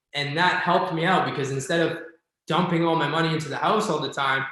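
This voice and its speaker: A man with a fairly high pitch keeps a fairly even intonation, and the room echo is audible. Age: 30s. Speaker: real estate agent and investor. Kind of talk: casual interview chat.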